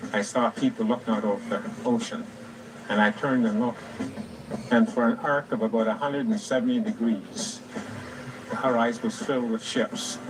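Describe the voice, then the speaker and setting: Against noticeable background noise, a man speaks at a moderate pace in a fairly high pitch with very wide pitch swings. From Cape Breton, Nova Scotia, Canada. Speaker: war veteran. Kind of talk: testimony.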